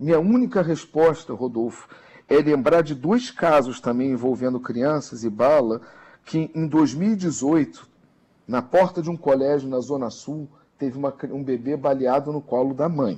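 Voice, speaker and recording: This is an ordinary speaking voice with ordinary pitch variation. The pace is fairly slow. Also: man, fairly high pitch for a man. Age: middle-aged. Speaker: social media analyst commentator. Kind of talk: radio news commentary.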